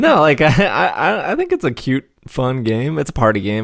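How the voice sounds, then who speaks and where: The recording is very clean and its background is silent. The voice belongs to a man. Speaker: board game podcast host. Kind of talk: casual chat. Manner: fast.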